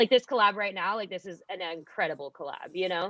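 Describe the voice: A woman speaks at a fairly low pitch with ordinary pitch variation. Her tone is bright and sharp, with vocal fry. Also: dry, close sound with no echo.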